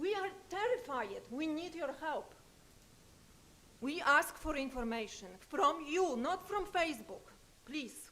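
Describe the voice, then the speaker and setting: In a raised, projected voice with a high pitch, a woman speaks at a very slow pace with long, frequent pauses and very wide pitch swings, and audible room echo is present. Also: bright, sharp tone. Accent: non-native. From Poland. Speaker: public commenter. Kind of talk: public comment at city council. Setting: city council meeting. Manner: urgent.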